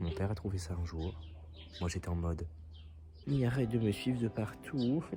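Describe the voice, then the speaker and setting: A man with a very deep, low pitch, lively intonation, moderate pace and long, frequent pauses. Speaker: vlogger. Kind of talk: casual vlog.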